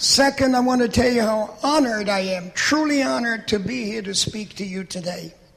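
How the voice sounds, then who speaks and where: Over noticeable background noise, a high-pitched man talks at a fairly quick pace with hardly any pauses and ordinary pitch variation. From Poland, small village. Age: 80s+. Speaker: Holocaust survivor speaker. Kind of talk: testimony.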